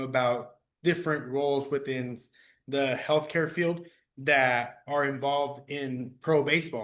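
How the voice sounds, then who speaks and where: Against a quiet background, a man with a fairly high pitch and a bright, sharp tone speaks with fairly even intonation. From Phoenix, Arizona (Maryvale barrio), Mexican family. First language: Spanish. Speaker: athletic trainer. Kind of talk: podcast interview.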